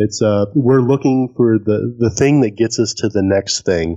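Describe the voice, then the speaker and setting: The sound is dry and close, with no echo. A man with a medium pitch talks at a moderate pace with fairly even intonation. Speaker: car podcaster. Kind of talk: interview. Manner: soft-spoken; halting.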